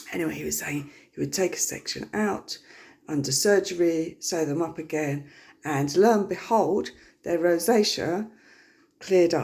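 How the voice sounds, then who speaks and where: A woman's vocal fry at a moderate pace, with ordinary pitch variation and long, frequent pauses. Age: 50s. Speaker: health vlogger. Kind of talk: casual personal talk to camera. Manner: hesitant, many fillers.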